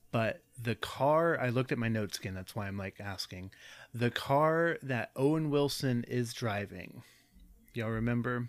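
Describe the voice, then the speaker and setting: Recorded very cleanly against a silent background, a man speaks fairly slowly at a medium pitch in an ordinary speaking voice. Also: ordinary pitch variation. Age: 20s. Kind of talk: casual chat.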